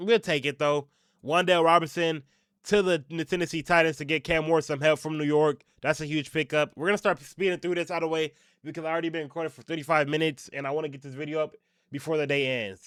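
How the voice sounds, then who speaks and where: A man's fairly high voice at a very fast pace, with fairly even intonation, big swings in loudness, and a dry, close sound on a very clean recording with a silent background. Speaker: sports YouTuber. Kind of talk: casual reaction commentary.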